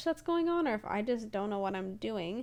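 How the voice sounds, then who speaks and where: At a fairly quick pace, a woman talks with very wide pitch swings. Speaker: gaming YouTuber and streamer. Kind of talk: voiceover commentary. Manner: fast; energetic.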